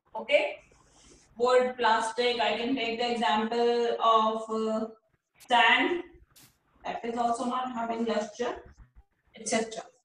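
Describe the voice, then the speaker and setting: With an Indian accent and a fairly high voice, a woman speaks at a very slow pace with long, frequent pauses. Her intonation is fairly even, and strong room echo surrounds her. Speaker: school teacher. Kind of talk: online class lecture. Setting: video call. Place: home room. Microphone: video call.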